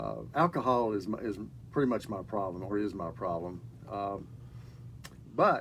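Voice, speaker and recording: Ordinary pitch variation runs through speech delivered at a moderate tempo. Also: man. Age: 60s. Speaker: recovering alcoholic, program graduate. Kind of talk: interview testimony. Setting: radio studio. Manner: halting, many fillers.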